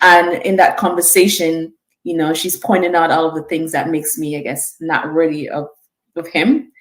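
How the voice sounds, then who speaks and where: A woman speaks in a Vincentian accent. Her voice is fairly low, with ordinary pitch variation. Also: moderate pace. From St Vincent, Caribbean. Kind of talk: conversational, personal story.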